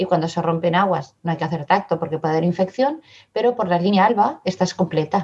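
A woman speaks at a very fast pace in a fairly low pitch. Her voice is somewhat breathy, with ordinary pitch variation. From Barcelona area, Spain (born in Madrid). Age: 50s. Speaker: mother sharing birth story. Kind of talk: testimony.

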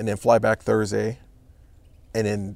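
With a Californian accent and vocal fry, a man talks at a fairly quick pace and fairly low pitch, his pitch varying in an ordinary way. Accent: Californian American. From Los Angeles, California. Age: 40s. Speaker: artisan business owner. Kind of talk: interview. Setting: home studio in a backyard.

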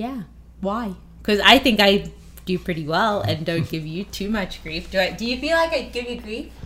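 The delivery has vocal fry and lively intonation. It moves at a moderate pace. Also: woman, medium pitch for a woman. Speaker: poker player and podcast co-host. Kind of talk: casual chat. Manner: playful.

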